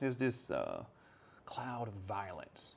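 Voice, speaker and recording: Speaking at a very slow pace, a man with an American accent uses a medium pitch and ordinary pitch variation. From United States. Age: 40s. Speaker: English teacher. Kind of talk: casual podcast monologue. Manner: casual, hesitant.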